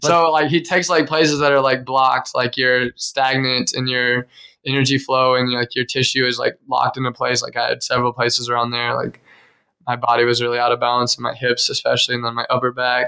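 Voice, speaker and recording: Very fast talk from a man with an American accent, medium in pitch, bright and sharp in tone, with monotone, flat intonation. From Kansas, US. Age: 20s. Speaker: podcast host. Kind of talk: casual chat.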